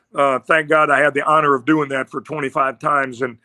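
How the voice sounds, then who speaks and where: Speaking at a fairly quick pace with an American accent, a man has a fairly high pitch and a bright, sharp tone, on a very clean recording with a silent background and a dry, close sound with no echo. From Iowa (Iowa City). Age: 70s. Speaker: retired football coach. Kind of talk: podcast interview. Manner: animated.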